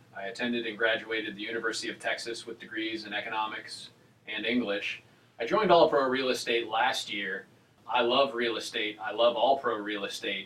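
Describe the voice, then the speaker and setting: Against noticeable background noise, a man speaks at medium pitch and a fairly quick pace. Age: 30s. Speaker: real estate agent. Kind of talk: casual chat.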